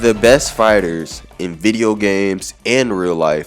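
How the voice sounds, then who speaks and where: A man speaks at a fairly low pitch while music plays in the background. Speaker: gaming video essayist. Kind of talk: video essay narration.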